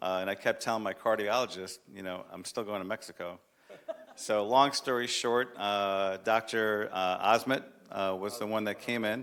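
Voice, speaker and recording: A man speaks at a moderate pace with fairly even intonation. He has an unremarkable speaking voice. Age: 60s. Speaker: city commission member presenting proclamation. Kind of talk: public meeting remarks. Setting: city commission chamber.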